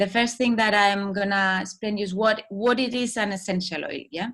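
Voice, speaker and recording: A woman with a Spanish accent speaks in a bright, sharp tone. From Spain. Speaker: holistic wellbeing coach. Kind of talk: talk. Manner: halting.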